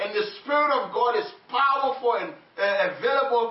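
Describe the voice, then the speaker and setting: Amid noticeable background noise, a man talks at a fairly slow pace in an extremely high pitch. His tone is animated and his intonation lively. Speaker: preacher. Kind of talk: sermon. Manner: animated, call-and-response; halting, repeats words.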